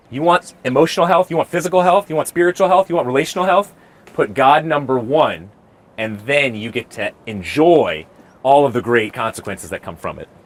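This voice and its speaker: A man with an unremarkable speaking voice talks at a fairly quick pace and a fairly high pitch. His intonation is lively, and the sound is dry and close with no echo. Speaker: street preacher; mental health and marriage family counselor. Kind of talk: street debate answer. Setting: outdoors.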